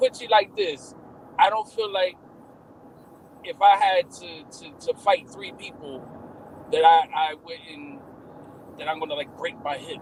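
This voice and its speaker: Amid noticeable background noise, a high-pitched man speaks with ordinary pitch variation, big swings in loudness and long, frequent pauses. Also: fairly slow pace. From Cuban-American. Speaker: live stream host. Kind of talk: casual chat.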